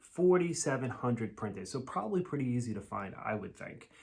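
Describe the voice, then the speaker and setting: A man with an American accent speaks in a medium pitch. His voice is somewhat breathy and his pace moderate. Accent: Massachusetts accent, sometimes strong. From Massachusetts, US. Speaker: vinyl record YouTuber. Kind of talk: casual video review. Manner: casual, with fillers.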